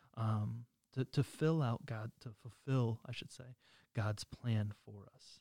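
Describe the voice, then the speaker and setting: Somewhat breathy and dark, mellow in tone, a man speaks at a very slow pace with fairly even intonation and big swings in loudness, the sound dry and close with no echo. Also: medium pitch for a man. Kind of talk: casual religious discussion.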